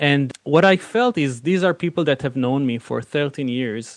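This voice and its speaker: This man talks with an Israeli accent. The background is quiet. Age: 40s. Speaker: film director and producer. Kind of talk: interview.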